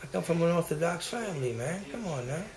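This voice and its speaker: A man talks at a moderate pace. Room echo can be heard along with noticeable background noise. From Haiti. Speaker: activist vlogger. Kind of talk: angry rant. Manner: agitated; halting.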